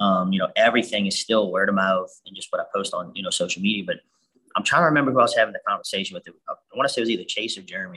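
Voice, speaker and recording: The speech comes at a very fast pace with big swings in loudness. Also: man. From Louisiana, Metairie (New Orleans area). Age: 30s. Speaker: firefighter and car detailing business owner. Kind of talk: casual interview chat.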